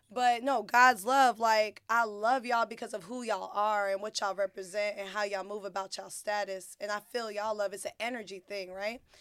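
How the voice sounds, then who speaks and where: Woman with an American accent at medium pitch, in a monotone, flat intonation, at a fairly quick pace with hardly any pauses. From North Carolina (Fayetteville). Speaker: podcast co-host. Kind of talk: casual chat.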